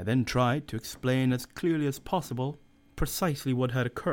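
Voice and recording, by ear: A natural voice reading aloud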